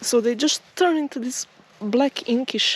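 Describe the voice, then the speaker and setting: A woman with a non-native accent speaks very slowly at a high pitch, using ordinary pitch variation. The sound is dry and close with no echo, though noticeable background noise comes through. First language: not English. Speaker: nature vlogger. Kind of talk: walking vlog narration. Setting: outdoors. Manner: slow-paced; halting.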